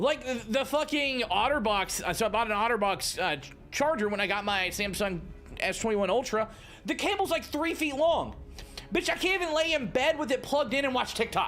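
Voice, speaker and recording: Over background music, a man talks at a fairly quick pace in an animated tone, his extremely high pitch swinging very widely. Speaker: game streamer. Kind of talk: live gameplay stream chat. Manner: casual, animated.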